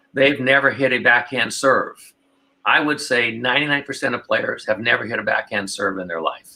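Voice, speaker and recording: A man's bright, sharp voice at medium pitch, moderate in pace, with ordinary pitch variation. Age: 60s. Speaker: pickleball pro and coach. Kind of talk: casual interview. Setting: podcast.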